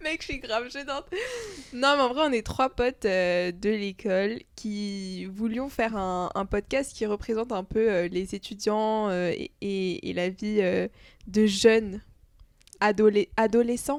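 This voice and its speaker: Recorded very cleanly against a silent background, a woman with a fairly high pitch speaks at a very slow pace with ordinary pitch variation. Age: 20s. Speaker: student podcast co-host. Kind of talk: casual chat. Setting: home recording.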